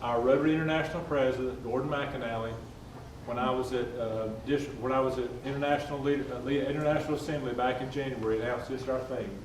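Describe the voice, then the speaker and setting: With a Southern US accent, a man talks at a very fast pace and medium pitch in monotone, flat intonation, with audible room echo and noticeable background noise. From North Carolina, North Wilkesboro. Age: 60s. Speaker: civic club leader. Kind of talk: speech.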